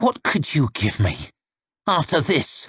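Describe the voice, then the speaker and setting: A hissing, put-on character voice moves through very wide pitch swings at a fairly slow pace. The sound is dry and close, with no echo. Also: man. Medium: read story. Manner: terse, grim.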